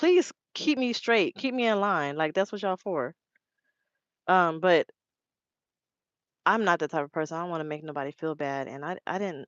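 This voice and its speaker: A woman with a fairly low pitch speaks with lively intonation and long, frequent pauses. The background is quiet, and the sound is dry and close with no echo. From Los Angeles, California. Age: 30s. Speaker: truck driver and live streamer. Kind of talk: casual live stream chat. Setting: live stream. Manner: fast, run-together speech.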